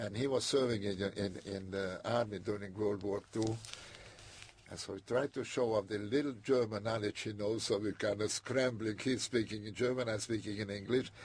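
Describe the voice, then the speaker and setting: A man with a non-native accent speaks at a moderate pace and fairly low pitch, his intonation fairly even. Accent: foreign. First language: not English. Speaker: immigrant interviewee. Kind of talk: oral history interview. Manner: halting.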